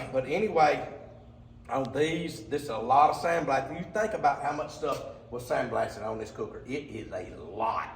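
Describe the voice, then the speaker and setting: A man with an Alabama accent speaks at fairly high pitch with ordinary pitch variation. Noticeable background noise and audible room echo are present. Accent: Southern US (Alabama). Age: 60s. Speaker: cooker fabricator. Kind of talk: product walkthrough video. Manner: casual, rambling with fillers.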